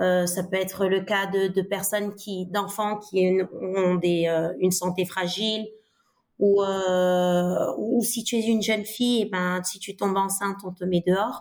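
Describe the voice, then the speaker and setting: Speaking at a very slow pace, a woman keeps her medium pitch monotone with flat intonation. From Senegal (Dakar). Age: 30s. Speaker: biology teacher and education nonprofit co-founder. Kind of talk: interview conversation.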